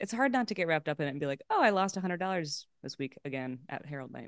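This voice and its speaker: A woman speaks at a very fast clip in an animated tone. The background is quiet. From Los Angeles, California. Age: 30s. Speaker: improv comedian and actor. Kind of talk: casual chat.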